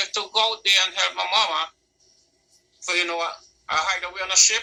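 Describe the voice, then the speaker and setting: In a Caribbean accent, a man speaks at a fairly quick pace in a raised, projected voice with fairly even intonation. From Caribbean, Saint Vincent and Trinidad. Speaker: musician. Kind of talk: interview. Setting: live online broadcast, on the line.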